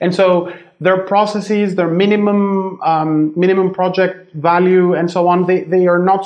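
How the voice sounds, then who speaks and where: A man speaks at a moderate pace in a high pitch. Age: 30s. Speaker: startup founder. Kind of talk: interview. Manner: halting, many fillers.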